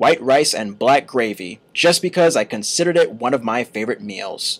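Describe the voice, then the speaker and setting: A plain, everyday voice speaks in an American accent with lively intonation. The pace is moderate. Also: man, medium pitch for a man. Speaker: college radio host. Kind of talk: humorous eulogy speech reading.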